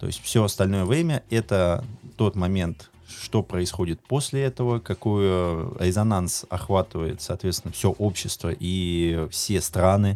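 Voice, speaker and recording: A man's very deep, low voice with a dark, mellow tone, ordinary pitch variation and a fairly slow pace. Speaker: podcast co-host. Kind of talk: casual chat.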